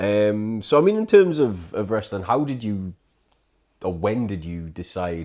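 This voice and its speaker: With a British accent, a man speaks at a fairly slow pace in a fairly low pitch and a dark, mellow tone, his intonation lively and his loudness swinging widely, on a very clean recording with a silent background. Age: 40s. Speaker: podcast host. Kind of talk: casual chat.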